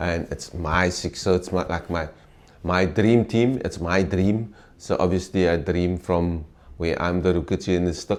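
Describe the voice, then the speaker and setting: With a South African accent, a man speaks at a very deep, low pitch, using fairly even intonation and a fairly slow pace. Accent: Afrikaans South African English. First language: Afrikaans. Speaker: former volleyball player and mentor. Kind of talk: interview. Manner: halting.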